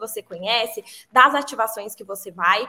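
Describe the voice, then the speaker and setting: A woman's raised, projected voice, bright and sharp in tone, at a moderate pace. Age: 20s. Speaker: advertising professional. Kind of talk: casual chat.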